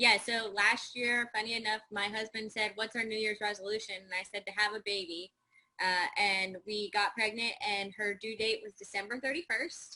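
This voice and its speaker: Her tone bright and sharp, a woman talks at a moderate pace with a fairly high pitch and fairly even intonation. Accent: American. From Michigan. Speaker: real estate agent. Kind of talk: interview.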